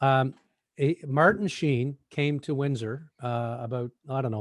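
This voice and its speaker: With a dry, close sound with no echo, a man talks at a moderate pace with a Newfoundland accent. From Newfoundland, Canada. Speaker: podcast co-host. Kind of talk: casual chat. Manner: animated storytelling.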